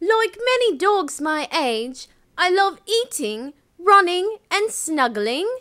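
A very slow, put-on character voice, female-sounding, extremely high-pitched, with very wide pitch swings. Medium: voice reel. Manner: earnest, friendly.

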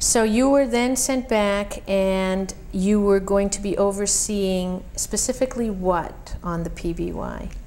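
A woman talks at a very slow pace with hardly any pauses. Her pitch varies in an ordinary way over light background noise. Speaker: oral history interviewer. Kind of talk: oral history interview. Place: home room.

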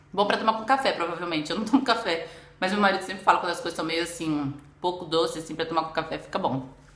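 A woman talking at a very fast pace with audible room echo. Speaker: food vlogger. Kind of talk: casual vlog chat. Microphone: phone near.

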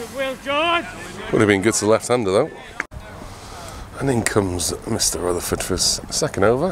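Over noticeable background noise, a man speaks at medium pitch and a moderate pace with lively intonation. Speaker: amateur cricket commentator. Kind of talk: sports commentary.

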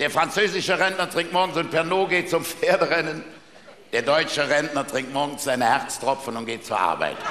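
Projecting his voice with lively intonation, a man speaks at a moderate pace amid light background noise and audible room echo. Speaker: carnival speaker (Büttenredner). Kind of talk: carnival stage speech with jokes. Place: stage. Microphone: headset.

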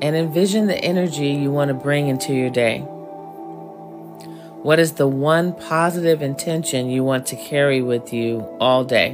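Over music in the background, a woman with a very deep, low pitch speaks in a soothing tone, using ordinary pitch variation and long, frequent pauses. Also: moderate pace. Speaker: affirmation guide. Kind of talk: guided meditation.

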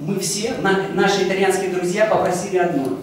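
A high-pitched man's voice at a moderate pace, with strong room echo and light background noise. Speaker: exhibition volunteer. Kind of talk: testimony. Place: hall. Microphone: handheld.

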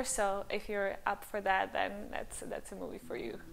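A woman speaks with a Serbian accent. Her pace is moderate. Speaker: language-learning youtuber. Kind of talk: casual vlog monologue. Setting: home recording with new microphone. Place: home room. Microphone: lapel.

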